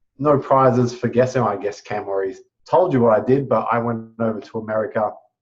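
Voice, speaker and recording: A man's medium-pitched, somewhat breathy voice at a fairly quick pace. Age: 30s. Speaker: network marketing entrepreneur. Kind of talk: testimony.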